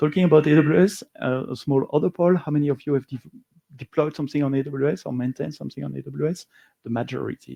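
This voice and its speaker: With a slight French accent, a man talks at a fairly quick pace, his fairly high pitch showing ordinary variation, the sound dry and close with no echo. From Belgium. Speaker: software engineer and conference speaker. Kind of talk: conference talk. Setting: stage with live audience, also streamed. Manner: hesitant, frequent uh and um.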